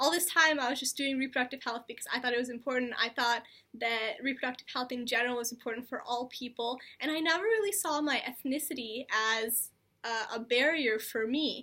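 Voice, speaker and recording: In an American accent, a woman talks at a fairly quick pace with a high pitch, ordinary pitch variation and a bright, sharp tone. The recording is very clean, with a silent background. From United States, Indian immigrant family. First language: Telugu. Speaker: reproductive health video host. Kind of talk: personal vlog talk.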